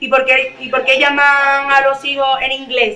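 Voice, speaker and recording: Someone with a Sevillian accent uses a raised, projected voice over noticeable background noise. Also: woman. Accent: Andalusian (Sevillian) Spanish, uses Z sound. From Seville, Andalusia, Spain. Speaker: author. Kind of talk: panel discussion at a library literary event. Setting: library event with audience. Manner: animated, emphatic.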